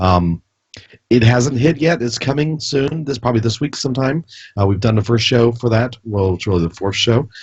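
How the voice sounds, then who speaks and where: At a moderate pace, this somewhat breathy voice carries lively intonation. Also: man. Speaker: podcast co-host. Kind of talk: casual chat.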